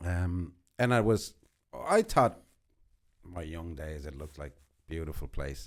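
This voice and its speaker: On a very clean recording with a silent background, a man with a Spanish accent and a very deep, low voice speaks at a fairly slow pace, with ordinary pitch variation, big swings in loudness and long, frequent pauses. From Uruguay, Montevideo. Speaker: podcast guest. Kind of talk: casual interview, life story. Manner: hesitant, with fillers.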